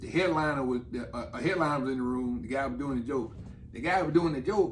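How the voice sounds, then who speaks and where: The speech moves at a fairly quick pace, and audible room echo surrounds it. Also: man. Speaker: comedian. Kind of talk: casual chat.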